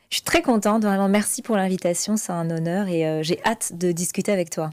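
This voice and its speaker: A woman at a medium pitch uses a normal speaking voice at a fairly quick pace, on a very clean recording with a silent background. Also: fairly even intonation. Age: 30s. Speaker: finance coach. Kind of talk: interview.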